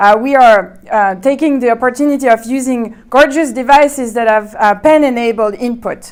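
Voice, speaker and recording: Speaking in a French accent with a high pitch, a woman keeps a moderate pace, hardly pauses, and shows ordinary pitch variation. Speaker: researcher presenting. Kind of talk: conference talk.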